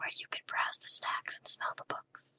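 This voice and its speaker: Someone whispers at a fairly slow pace. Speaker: ASMR artist. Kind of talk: poetry reading. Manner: whispered; soft-spoken, relaxing.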